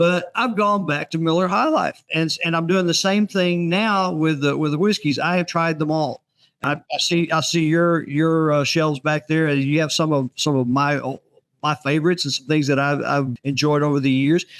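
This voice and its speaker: Speaking at a moderate pace with a Texan accent, a man uses a fairly high pitch with ordinary variation and very even loudness. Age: 70s. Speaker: author. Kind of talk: casual chat. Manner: halting, repeats words.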